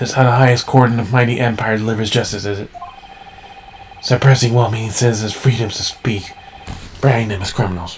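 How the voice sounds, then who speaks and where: Over clear background noise, a man puts on a raspy character voice at a medium pitch, talking very fast between long, frequent pauses. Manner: indignant, defiant.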